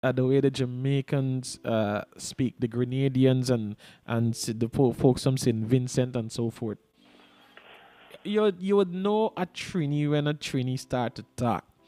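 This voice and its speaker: Music plays behind a man speaking at a fairly slow pace in a medium pitch with ordinary pitch variation. The sound is dry and close, with no echo. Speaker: TV presenter. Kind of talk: interview. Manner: casual.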